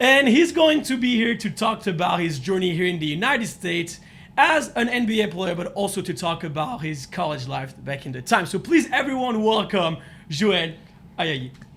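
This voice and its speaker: A man speaks with a strong French accent at a high pitch. His voice makes very wide pitch swings. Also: moderate pace. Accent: thick French. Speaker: podcast host. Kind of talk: casual interview chat. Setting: Las Vegas, at NBA Summer League.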